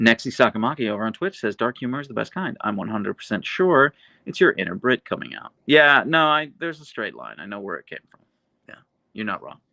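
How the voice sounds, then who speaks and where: A man's medium-pitched voice with vocal fry, very wide pitch swings and big jumps in loudness, at a very fast pace, dry and close with no echo, over a quiet background. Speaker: YouTuber live streamer. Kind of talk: live stream chat reading. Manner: dry delivery.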